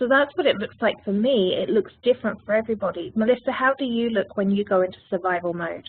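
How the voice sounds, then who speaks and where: A woman with a British accent talks very fast in a fairly high voice, her intonation lively and hardly any pauses between words. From United Kingdom. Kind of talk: webinar presentation. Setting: virtual program.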